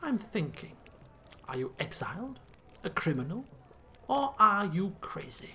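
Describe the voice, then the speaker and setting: In a put-on character voice, a female-sounding speaker at a medium pitch swings very widely in pitch, leaving long, frequent pauses against clear background noise. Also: moderate pace. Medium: solo performance. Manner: sly, sidelong, direct.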